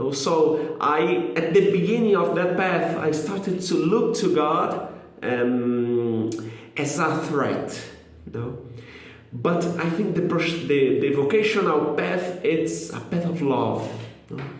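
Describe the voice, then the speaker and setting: A man with a non-native accent speaks at a very slow pace, his pitch fairly high with ordinary variation. Noticeable background noise and audible room echo fill the recording. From Brazil. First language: Portuguese. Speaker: lay missionary. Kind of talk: testimony. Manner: halting, with fillers.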